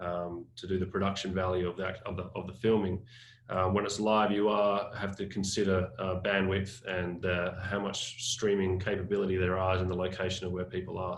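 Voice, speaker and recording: Delivery comes at a moderate pace with monotone, flat intonation. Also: man. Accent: Australian. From Australia. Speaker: creative agency staff. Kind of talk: webinar panel discussion. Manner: halting, many fillers.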